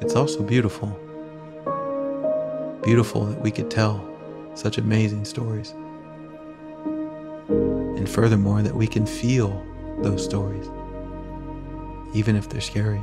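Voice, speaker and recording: Over loud background music, a man speaks at a fairly slow pace with long, frequent pauses. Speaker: meditation guide. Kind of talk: guided meditation. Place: home room. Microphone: earbuds.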